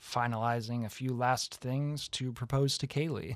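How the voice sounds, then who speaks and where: On a very clean recording with a silent background, a man with an ordinary speaking voice talks fairly slowly at a medium pitch. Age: 20s. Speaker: college theatre student. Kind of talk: casual chat. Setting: studio.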